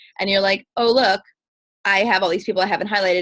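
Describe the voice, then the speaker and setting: The woman's pitch sits in the medium range. She talks at a very fast pace. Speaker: fitness coach. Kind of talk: coaching call presentation.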